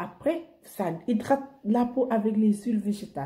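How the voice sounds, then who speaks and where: Somewhat breathy and dark, mellow in tone, a woman speaks at a medium pitch and a fairly slow pace with lively intonation. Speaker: beauty vlogger. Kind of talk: beauty tutorial. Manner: animated.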